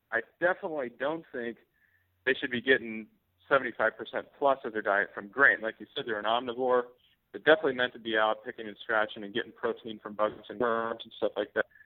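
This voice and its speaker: A man with a normal speaking voice and an American accent, medium in pitch, at a fairly quick pace, with ordinary pitch variation and big swings in loudness. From US Pacific Northwest, Seattle. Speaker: poultry farmer. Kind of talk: interview.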